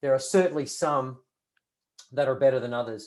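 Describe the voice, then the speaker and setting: This is a man speaking. His pitch is fairly high. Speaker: retail consultant, merchandise planner. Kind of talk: webinar presentation. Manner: fast; many fillers and repetitions.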